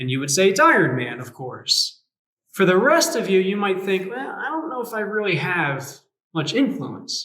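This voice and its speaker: There is audible room echo as a man speaks at a high pitch and a moderate pace. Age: 30s. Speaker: youth pastor. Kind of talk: sermon. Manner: animated.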